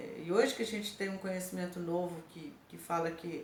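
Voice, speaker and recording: Talking at a fairly slow pace, a woman is heard with audible room echo and noticeable background noise. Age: 60s. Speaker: image and beauty consultant. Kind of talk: educational monologue. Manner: conversational, with many fillers.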